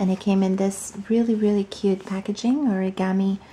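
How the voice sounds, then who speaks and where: A soft-spoken woman talks at a medium pitch with monotone, flat intonation. Noticeable background noise sits behind her. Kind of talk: ASMR unboxing.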